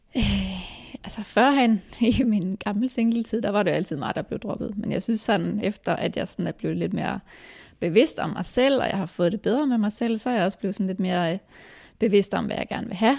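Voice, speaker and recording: Vocal fry from a woman with ordinary pitch variation, on a very clean recording with a silent background. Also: medium pitch for a woman, moderate pace. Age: 30s. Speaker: hairdresser. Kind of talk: casual chat. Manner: soft-spoken. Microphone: too far from the mic.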